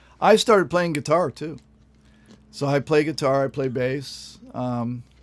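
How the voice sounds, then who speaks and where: Pitch varies in an ordinary way as the voice moves fairly slowly. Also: man, fairly high pitch for a man. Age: 60s. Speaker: post audio engineer. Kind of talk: casual chat. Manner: halting.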